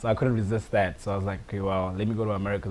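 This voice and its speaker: A man with a South African accent, fairly low in pitch, with fairly even intonation. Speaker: soccer player. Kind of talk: interview. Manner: casual, frequent fillers.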